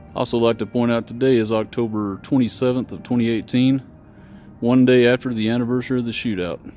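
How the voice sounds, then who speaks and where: Over background music, a man speaks very fast at a medium pitch with monotone, flat intonation. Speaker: history vlogger. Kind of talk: walking tour commentary. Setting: outdoors. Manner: loud.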